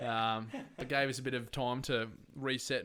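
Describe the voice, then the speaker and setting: With an Australian accent, this man talks at a moderate pace in a medium pitch, his tone bright and sharp and his intonation monotone and flat. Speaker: podcast host. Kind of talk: casual chat. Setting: at home, windows open.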